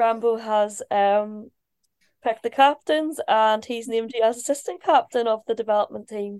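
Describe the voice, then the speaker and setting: Speaking in a Northern Irish accent at a moderate pace and fairly high pitch, a woman sounds dry and close with no echo against a quiet background. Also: ordinary pitch variation. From Belfast, Northern Ireland. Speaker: ice hockey player and interviewer. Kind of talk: casual interview. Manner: giggly.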